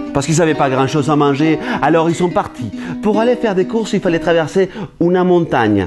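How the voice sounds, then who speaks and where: This man's fairly high voice moves in a lively way at a fairly quick clip. His loudness stays very even, with music playing behind him. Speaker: storyteller. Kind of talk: oral storytelling performance.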